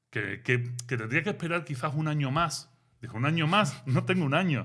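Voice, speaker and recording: Speaking with a Sevillian accent, a man uses a fairly high pitch, a bright, sharp tone, ordinary pitch variation and a moderate pace. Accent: Sevillian Andalusian. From Seville, Spain. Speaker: philosopher and author. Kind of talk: interview. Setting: studio. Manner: animated.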